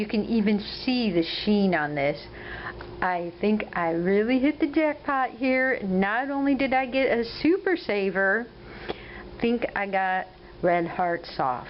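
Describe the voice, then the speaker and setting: Speaking very slowly with an American accent, a woman at a medium pitch lets her pitch swing very widely over noticeable background noise. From US Midwest, Ohio. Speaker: crochet vlogger. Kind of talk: casual video update.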